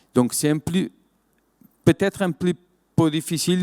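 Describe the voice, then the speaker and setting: With a Portuguese accent, a man speaks with ordinary pitch variation in a dry, close sound with no echo. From Portugal. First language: Portuguese (speaking French). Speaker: winemaker, wine business director. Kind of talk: conference talk. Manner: halting, many hesitations and repetitions.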